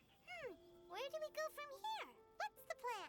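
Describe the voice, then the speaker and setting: This put-on character voice sounds female and squeaky, with an extremely high pitch. It moves at a moderate pace. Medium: video game. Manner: chatty, lively.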